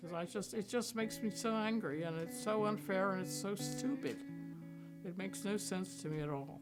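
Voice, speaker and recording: A woman with an American accent at a moderate pace, music in the background. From Pennsylvania. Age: 80s+. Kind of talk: interview answer.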